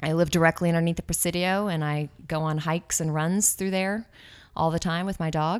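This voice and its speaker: A woman with an American accent talks at a fairly quick pace in an unremarkable speaking voice, fairly low in pitch with fairly even intonation. The recording is very clean, with a silent background. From Austin, Texas. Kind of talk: casual interview.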